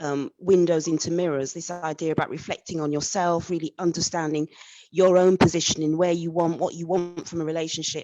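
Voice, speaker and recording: With an English accent, a woman speaks at a fairly low pitch in a flat monotone. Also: fairly quick pace. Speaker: audience member asking a question. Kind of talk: live Q&A question. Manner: halting.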